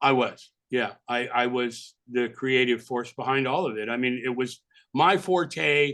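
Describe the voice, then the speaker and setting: A man with a slight New York accent speaks at medium pitch in a bright, sharp tone. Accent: minimal New York. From California. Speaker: album cover designer. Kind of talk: interview. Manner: casual, animated.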